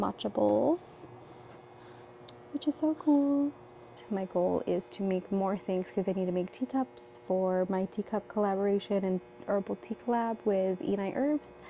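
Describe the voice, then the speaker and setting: A woman is whispering. Her pace is fairly slow. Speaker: potter and vlogger. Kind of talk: casual vlog talk to camera. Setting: pottery studio at night.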